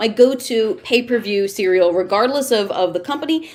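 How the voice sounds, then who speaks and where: Against noticeable background noise, a woman speaks at fairly high pitch with very wide pitch swings. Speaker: wrestling commentator and ring announcer. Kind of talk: interview answer. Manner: chatty, playful.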